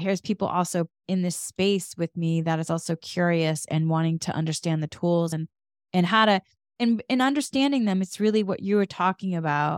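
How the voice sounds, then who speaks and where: A woman's unremarkable speaking voice with an American accent, fairly low in pitch, at a moderate pace with ordinary pitch variation, in a dry, close sound with no echo. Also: very clean recording, silent background. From Massachusetts. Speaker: podcast host. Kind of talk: casual chat.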